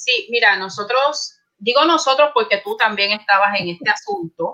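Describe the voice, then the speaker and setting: An unremarkable speaking voice from a woman, lively intonation and a moderate pace. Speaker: librarian, academic. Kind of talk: casual chat. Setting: video call.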